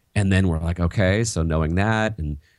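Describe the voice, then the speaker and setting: Fairly quick speech with ordinary pitch variation, on a very clean recording with a silent background. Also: man. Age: 40s. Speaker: teacher and education author. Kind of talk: interview.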